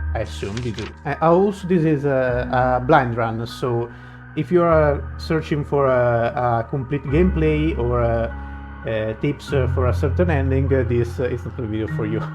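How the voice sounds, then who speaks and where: Against music in the background, a man speaks at a moderate pace and medium pitch, his pitch swinging very widely. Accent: non-native. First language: not English. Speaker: video game streamer. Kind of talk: gameplay commentary. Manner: halting, many fillers.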